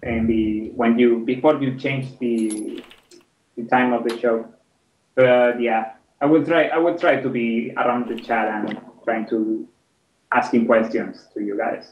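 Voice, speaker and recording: With a strong non-native accent, a man at medium pitch speaks at a fairly slow pace with fairly even intonation and long, frequent pauses. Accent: strong foreign. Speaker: game map maker. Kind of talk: casual panel discussion.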